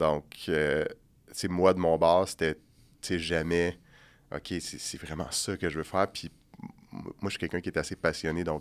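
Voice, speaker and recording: A man with a Quebec accent speaks in a very deep, low pitch with monotone, flat intonation at a fairly slow pace. His loudness swings widely, and he takes long, frequent pauses. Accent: Québécois French. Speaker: bodybuilder and massage therapist. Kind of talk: podcast interview. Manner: soft-spoken; calm, steady.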